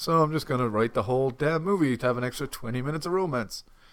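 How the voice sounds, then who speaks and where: A man speaks at a fairly quick pace, recorded very cleanly against a silent background. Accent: Irish. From Ireland. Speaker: film podcast co-host. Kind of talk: film commentary chat.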